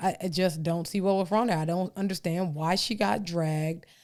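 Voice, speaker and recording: A woman with a Texan accent is heard in a very clean recording with a silent background. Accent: Texas country twang. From Texas. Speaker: podcast host. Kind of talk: podcast monologue, opinion commentary. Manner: casual, colloquial.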